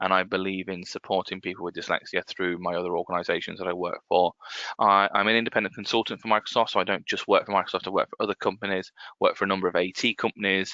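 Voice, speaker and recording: This man talks at a very fast pace in a fairly low, monotone voice with flat intonation. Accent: English. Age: 30s. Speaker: accessibility consultant. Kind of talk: webinar presentation. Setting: office desk, online webinar. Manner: halting, with many fillers and restarts.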